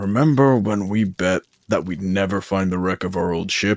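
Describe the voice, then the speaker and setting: Using a put-on character voice, a man talks at a moderate pace and a fairly low pitch. The sound is dry and close with no echo, and the pitch variation is ordinary. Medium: actual play. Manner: cocky, casual, crude.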